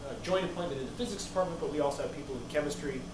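There is noticeable background noise and audible room echo as a man speaks. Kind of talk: lecture. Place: classroom. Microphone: camera far.

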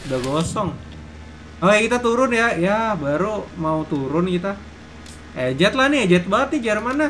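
Very wide pitch swings stand out against light background noise. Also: man. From Indonesia. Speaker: gaming streamer. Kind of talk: live gameplay commentary. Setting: live stream. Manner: fast; animated. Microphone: headset.

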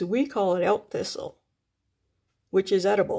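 Her pace fairly slow, the woman talks on. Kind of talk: casual vlog chat. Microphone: phone near.

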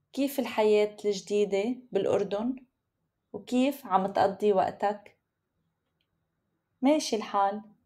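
A woman with a Lebanese accent, medium pitch and ordinary pitch variation, speaking at a very slow pace. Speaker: Arabic teacher. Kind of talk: language lesson text reading. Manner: clear, slow.

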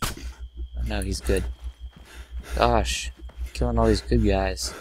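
A man's fairly low voice at a slow pace, with audible room echo. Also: fairly even intonation, slightly mellow tone.

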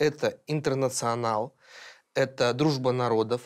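A man at a very slow pace, with ordinary pitch variation and a quiet background. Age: 30s. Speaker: podcast co-host, editor-in-chief; podcast co-host. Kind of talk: panel discussion. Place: studio. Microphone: lapel.

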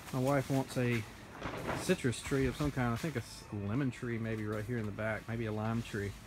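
Noticeable background noise sits behind speech at a moderate pace. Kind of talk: casual vlog chat. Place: open country. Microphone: phone near.

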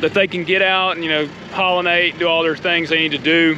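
Against noticeable background noise, a man with a high voice speaks at a moderate pace in a dry recording with no echo. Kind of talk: casual vlog chat. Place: open country. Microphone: phone near.

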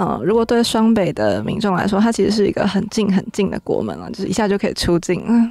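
A woman talks at a very fast pace with hardly any pauses, her medium-pitched voice dark, mellow and touched with vocal fry, the intonation fairly even and the sound dry with no echo. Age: young. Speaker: city tourism official; radio guest. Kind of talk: interview. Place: studio.

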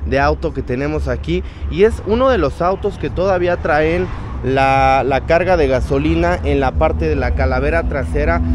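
Background noise is noticeable throughout. The pace is moderate and the sound is dry with no echo. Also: man. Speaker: car vlogger. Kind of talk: casual vlog chat. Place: market. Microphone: phone near.

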